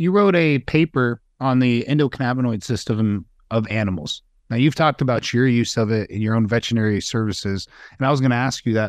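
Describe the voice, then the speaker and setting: A man with a plain, everyday voice talks at a fairly quick pace, his pitch medium with ordinary variation. The sound is dry and close with no echo, and the background is quiet. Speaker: radio host. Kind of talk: casual interview.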